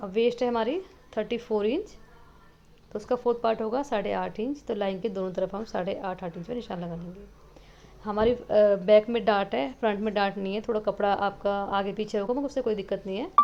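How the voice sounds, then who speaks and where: This woman has a normal speaking voice with a fairly high pitch. She talks at a moderate pace with ordinary pitch variation. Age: 30s. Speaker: sewing teacher. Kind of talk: tutorial.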